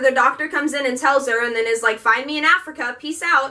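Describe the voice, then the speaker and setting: A woman speaks in a raised, projected voice. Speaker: book reviewer. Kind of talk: casual book review vlog. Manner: animated.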